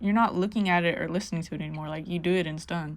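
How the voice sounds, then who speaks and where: A woman speaks loudly. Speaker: visual artist and musician. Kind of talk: casual monologue while painting. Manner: casual, many fillers and false starts.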